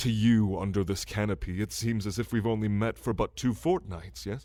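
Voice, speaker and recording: A man speaks in a put-on character voice with fairly low pitch. His pace is moderate. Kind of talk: ASMR roleplay. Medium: audio drama. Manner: regal, measured, condescending.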